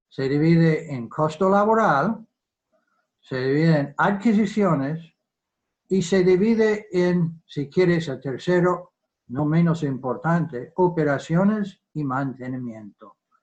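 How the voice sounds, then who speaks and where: Against a quiet background, a man speaks very slowly at a fairly high pitch with lively intonation. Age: 70s. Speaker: defence economist. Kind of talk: virtual lecture. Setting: video call. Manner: halting.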